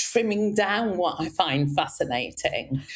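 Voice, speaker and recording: The woman's pitch swings very widely as she talks at a fairly slow pace. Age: 60s. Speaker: executive coach. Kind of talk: casual interview chat. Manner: animated.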